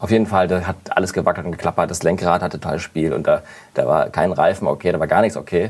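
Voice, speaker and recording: A man talks at a very fast pace in a very deep, low pitch. His intonation is fairly even. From northern Germany, near Hamburg. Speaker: advertising photographer. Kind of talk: casual chat.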